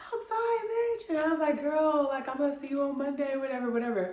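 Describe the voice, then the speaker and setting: The speaker talks at a moderate pace. Room echo is audible. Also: woman. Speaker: YouTube storyteller. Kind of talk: storytime monologue. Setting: home. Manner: animated.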